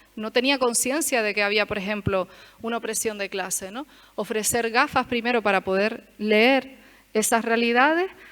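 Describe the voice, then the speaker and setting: A woman speaks with a fairly high pitch and ordinary pitch variation. Her pace is moderate, and the recording is very clean with a silent background. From Canary Islands, Tenerife. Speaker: lecturer. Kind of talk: lecture. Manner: hesitant, many fillers.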